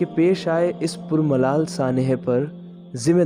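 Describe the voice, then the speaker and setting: Music plays in the background behind a man's voice. His pitch is fairly high, with ordinary pitch variation. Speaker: voice-over artist. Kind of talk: documentary narration. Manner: earnest, impassioned.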